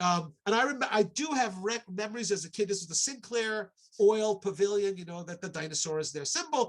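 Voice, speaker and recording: Talking at a fairly quick pace, a man with an American accent has a high pitch. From New York, Long Island. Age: 60s. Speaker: archaeology professor. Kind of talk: online lecture talk. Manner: halting, with fillers.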